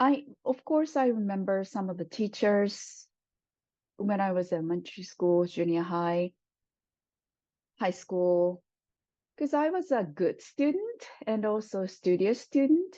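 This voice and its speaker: A dark, mellow voice with a Japanese accent and lively intonation moves at a fairly slow pace. Long, frequent pauses break up the speech against a quiet background. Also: woman, medium pitch for a woman. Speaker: Japanese language professor. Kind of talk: oral history interview answer.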